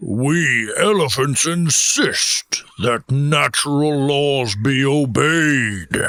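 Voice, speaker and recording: Using a put-on character voice with fairly high pitch, a man speaks at a very slow pace with hardly any pauses. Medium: audio drama. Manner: firm, solemn, commanding.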